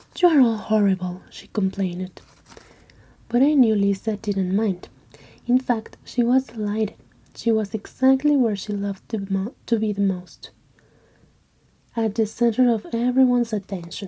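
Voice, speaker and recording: The speaker whispers softly, with a non-native accent. The pace is moderate, with long, frequent pauses. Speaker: ASMR creator. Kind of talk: ASMR story reading. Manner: soft-spoken, whispery.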